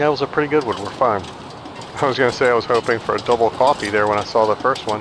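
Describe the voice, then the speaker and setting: Over noticeable background noise, a man talks at a very fast pace with medium pitch and fairly even intonation. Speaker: gaming streamer. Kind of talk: gameplay commentary. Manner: mumbling at times; louder than usual.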